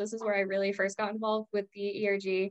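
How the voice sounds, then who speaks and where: Fairly high in pitch, a woman rattles along at a very fast pace. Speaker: executive assistant. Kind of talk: podcast panel discussion.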